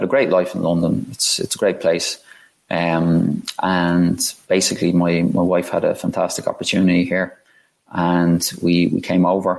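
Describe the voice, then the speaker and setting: With an Irish accent, a man talks at a moderate pace. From Ireland. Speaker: sports business guest. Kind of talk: casual interview chat. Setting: video or remote call.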